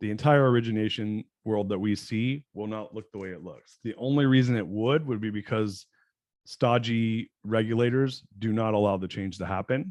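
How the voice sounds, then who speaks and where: Against a quiet background, a man with a medium-pitched voice talks at a moderate pace, his loudness swinging widely and his pitch varying in an ordinary way. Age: 40s. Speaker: entrepreneur and business coach. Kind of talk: podcast interview. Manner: halting.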